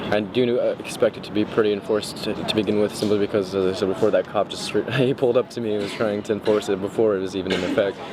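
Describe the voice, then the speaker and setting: Someone speaks very fast with an American accent and ordinary pitch variation. Noticeable background noise runs under the voice. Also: man. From Texas, Houston. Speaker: college student. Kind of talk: documentary interview.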